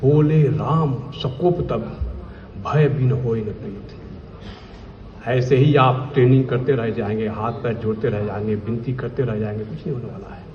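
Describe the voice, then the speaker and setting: With noticeable background noise and audible room echo, a man at a medium pitch talks with ordinary pitch variation and big swings in loudness. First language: Bhojpuri (speaking Hindi). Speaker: vigilance officer. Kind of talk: speech at official event. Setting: stage with audience. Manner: emphatic.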